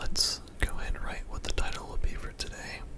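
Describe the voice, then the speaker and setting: Someone whispers in a calm tone at a moderate pace, with noticeable background noise behind them. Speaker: ASMR music theory teacher. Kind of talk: ASMR instructional lesson. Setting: studio with separate mic for physical sounds. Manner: soft-spoken, calm.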